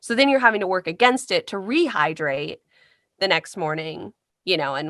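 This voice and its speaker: In a Midwestern US accent, the voice moves at a fairly quick pace with very wide pitch swings. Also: woman. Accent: US Midwest. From US Midwest, Carmel, Indiana. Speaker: voice actor. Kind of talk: interview.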